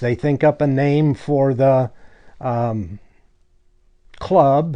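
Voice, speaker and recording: A man's fairly high, dark and mellow voice in a Western US accent, fairly even in intonation, over a quiet background. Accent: American Western. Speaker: cowboy action shooter. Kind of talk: documentary interview answer.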